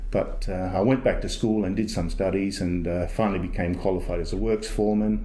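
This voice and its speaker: In an Australian accent, a man talks at a fairly quick pace with a fairly low pitch. His intonation is monotone and flat, and audible room echo surrounds it. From South Australia. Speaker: environmental health officer. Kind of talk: personal testimony. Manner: halting, many fillers.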